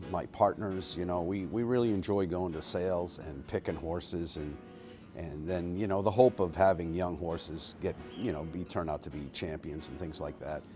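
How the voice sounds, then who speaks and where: Music plays in the background as a man speaks at a moderate pace. His pitch is very deep and low, with ordinary pitch variation. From New England. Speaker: horse trainer. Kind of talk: interview answers. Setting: horse barn. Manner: soft-spoken; halting.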